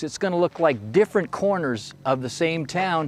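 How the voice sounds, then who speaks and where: The delivery is fairly slow, with lively intonation. Noticeable background noise is present. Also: man. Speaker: filmmaker and actor hosting a set tour. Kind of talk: casual guided tour narration. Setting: outdoors on a western movie set. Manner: quiet, hushed near filming.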